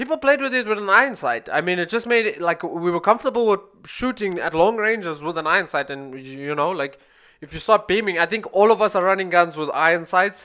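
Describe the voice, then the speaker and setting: In a South African accent, the speaker talks at a very fast pace in an animated tone. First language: Afrikaans. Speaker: gaming YouTuber. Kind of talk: gameplay commentary. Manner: casual, animated.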